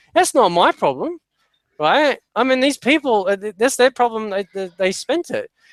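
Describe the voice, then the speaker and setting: A moderate pace in an Australian accent. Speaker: podcast panelist. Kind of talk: casual chat. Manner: halting.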